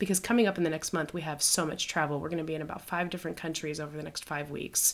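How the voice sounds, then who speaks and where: A woman with an American accent speaks at a very fast pace with hardly any pauses. Her pitch is very deep and low. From United States. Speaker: missionary podcast host. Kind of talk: casual conversation. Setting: recording while traveling in Ireland.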